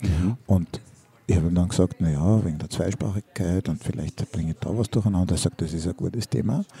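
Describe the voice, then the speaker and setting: Speaking at a fairly quick pace, a man with a very deep, low pitch has a dark, mellow, somewhat breathy tone and ordinary pitch variation, in a dry, close sound with no echo. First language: Hungarian and German (bilingual) (speaking German). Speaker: teacher and podcast co-host. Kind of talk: casual chat. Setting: school cafeteria.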